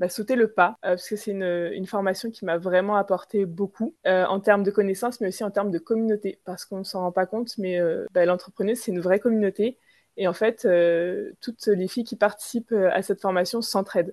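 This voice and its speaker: Speaking at a fairly quick pace over a quiet background, a woman uses a medium pitch and fairly even intonation. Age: 20s. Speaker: entrepreneur. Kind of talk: interview. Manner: hesitant, many fillers.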